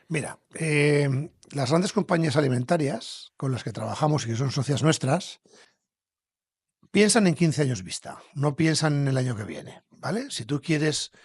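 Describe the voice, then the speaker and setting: In a quiet background, a man with a fairly high pitch speaks somewhat breathy at a fairly slow pace, with ordinary pitch variation. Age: 60s. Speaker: entrepreneur, company founder. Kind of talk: podcast interview.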